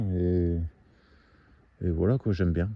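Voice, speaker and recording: Very deep and low in pitch, this man's voice has a dark, mellow tone. The sound is dry and close, with no echo. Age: 40s. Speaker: amateur woodcutter vlogger. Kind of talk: casual vlog talk to camera. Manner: hesitant, many fillers.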